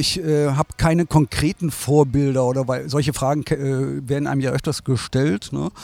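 Dry and close with no echo, the sound carries a man's fairly high pitch, fairly even intonation and moderate pace. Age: 60s. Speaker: design agency owner. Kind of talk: interview. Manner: hesitant, many fillers.

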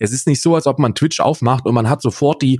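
A man's dark, mellow, somewhat breathy voice at medium pitch with ordinary variation, dry and close with no echo, on a very clean recording with a silent background. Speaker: podcast co-host and streamer. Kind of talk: casual chat.

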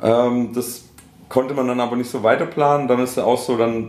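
Audible room echo surrounds a man talking at a moderate pace, at medium pitch, with fairly even intonation. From Swabia, Schorndorf near Stuttgart. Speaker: rapper. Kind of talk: casual interview. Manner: halting, many fillers.

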